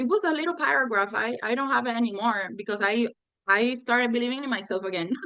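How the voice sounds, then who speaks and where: A woman speaks in a Spanish accent with a high pitch and lively intonation. Her tone is bright and sharp. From Puerto Rico. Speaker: law graduate retaking bar exam. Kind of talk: interview conversation. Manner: halting, self-correcting.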